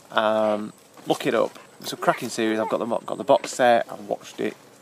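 Dry sound with no echo, a man at a moderate pace over loud background noise. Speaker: family vlogger. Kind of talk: casual vlog chat. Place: forest. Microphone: phone near.

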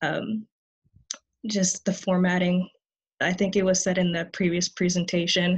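The delivery is somewhat breathy and monotone, with flat intonation. It moves at a moderate pace over a quiet background. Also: woman. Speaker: college student. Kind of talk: conference panel presentation.

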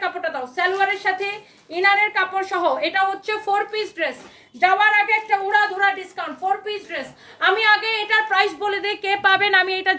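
A woman with an extremely high pitch uses a raised, projected voice with a bright, sharp tone and an animated delivery. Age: 30s. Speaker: clothing seller. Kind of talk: live sales pitch.

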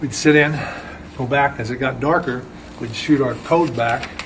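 Noticeable background noise sits behind the speaker. He is a man with fairly even intonation. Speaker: Vietnam veteran and artist. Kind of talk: elder life story, war reminiscence told to camera while describing a painting. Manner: rambling, halting, with restarts and digressions; plain-spoken, casual, vivid storytelling with military slang.

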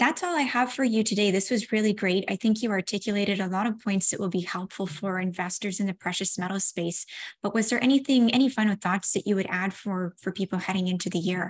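The somewhat breathy voice races along at a very fast pace with hardly any pauses and ordinary pitch variation. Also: woman. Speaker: interviewer for a finance news channel. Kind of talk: interview. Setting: video call. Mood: friendly, appreciative. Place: home room. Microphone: earbuds.

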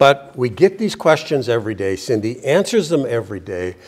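The pitch swings in big leaps. Delivery moves at a moderate pace. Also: man, medium pitch for a man.

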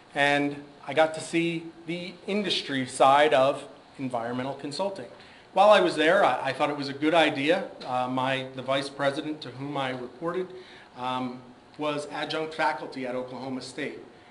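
A man with an American accent speaks at a moderate pace in a fairly high voice with fairly even intonation, his loudness swinging widely amid audible room echo and noticeable background noise. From US East Coast. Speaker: government scientist and speaker. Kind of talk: career talk at a symposium. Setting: stage with audience. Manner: hesitant, many fillers.

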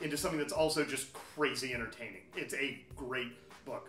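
A man speaks at a fairly quick pace. Audible room echo and faint music sit in the background. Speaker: comic shop staff. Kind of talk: commentary. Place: shop.

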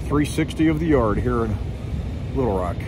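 Delivered at a moderate pace, the speech sounds dry with no echo amid noticeable background noise. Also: man. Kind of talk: casual vlog chat. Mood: cheerful, upbeat. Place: open country. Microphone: phone near.

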